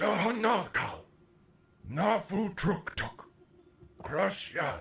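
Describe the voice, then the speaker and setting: A man's raspy, high-pitched put-on character voice at a very slow pace. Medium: audio drama. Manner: speaks an invented foreign language.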